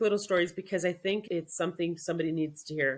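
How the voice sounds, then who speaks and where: A plain, everyday voice moves at a fairly quick pace with lively intonation. The recording is very clean, with a silent background. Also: woman. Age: 40s. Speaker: social media coach. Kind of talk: interview.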